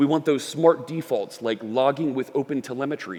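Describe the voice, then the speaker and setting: Someone with a Philadelphia accent speaks at a moderate pace with ordinary pitch variation. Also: man. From US Northeast, Philadelphia. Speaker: software developer and conference speaker. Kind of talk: conference talk. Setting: stage with audience.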